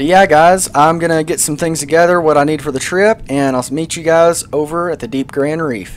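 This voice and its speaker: Background noise is noticeable. The speech moves at a moderate pace. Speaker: gaming YouTuber. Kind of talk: let's play gameplay commentary. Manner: animated; casual, filler-heavy.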